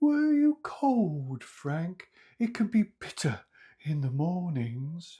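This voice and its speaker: A put-on character voice sits at a middle pitch and moves very slowly. Its pitch swings very widely on a very clean recording with a silent background. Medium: read story. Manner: friendly, unfazed.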